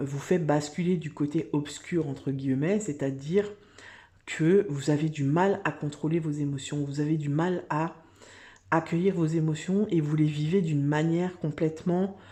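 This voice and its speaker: Over a quiet background, a woman talks at a fairly slow pace with a very deep, low pitch, a dark, mellow tone and fairly even intonation. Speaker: tarot card reader. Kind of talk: tarot reading video. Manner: hesitant, many filler words.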